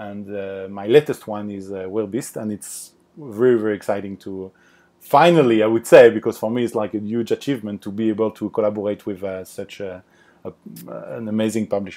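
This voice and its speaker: Speaking fairly quickly with a French accent, a man with a fairly low, dark, mellow voice keeps his intonation fairly even while his loudness swings widely, on a very clean recording with a silent background. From France (Paris). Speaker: board game designer. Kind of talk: podcast interview. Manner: halting, many fillers.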